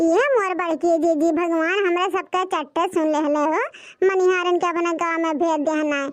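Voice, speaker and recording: A cartoonish character voice, female-sounding and extremely high in pitch for a woman. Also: moderate pace. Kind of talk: comic cartoon voice acting. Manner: loud, rustic, chattering.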